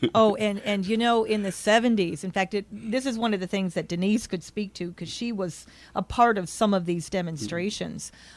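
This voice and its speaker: With an American accent, a woman talks in a normal speaking voice at a moderate pace. She hardly pauses, and her pitch varies in an ordinary way. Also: medium pitch for a woman. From upstate New York, Schenectady. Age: 50s. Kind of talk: interview.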